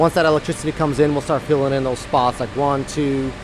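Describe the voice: Through clear background noise, a man talks at a moderate pace.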